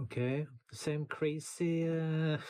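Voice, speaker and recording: This man has a dark, mellow tone, a fairly high pitch and a somewhat breathy quality, speaking with a Norwegian accent. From Norway. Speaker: music producer and YouTuber. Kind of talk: casual tutorial. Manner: halting, many fillers.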